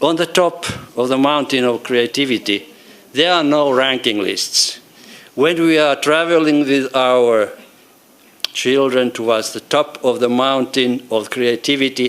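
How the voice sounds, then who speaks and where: A man with a Finnish accent talks at a fairly slow pace and medium pitch. His pitch varies in an ordinary way, with noticeable background noise behind him. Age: 60s. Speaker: professor emeritus of education. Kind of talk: conference talk. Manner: halting.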